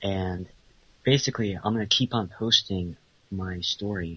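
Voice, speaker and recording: With an unremarkable speaking voice, a man talks at a fairly low pitch and a moderate pace. His intonation stays fairly even. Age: 20s. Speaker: self-styled pickup artist. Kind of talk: call-in interview. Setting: Skype call.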